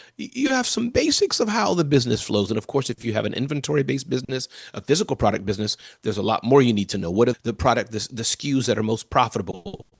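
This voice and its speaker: Very fast and animated, a man's voice comes through dry and close with no echo. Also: medium pitch for a man, lively intonation. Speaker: entrepreneur and keynote speaker. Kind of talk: interview.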